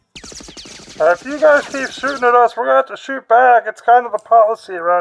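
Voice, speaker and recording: This is a put-on character voice with a fairly high pitch. It moves along at a moderate pace. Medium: actual play. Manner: officious but childish.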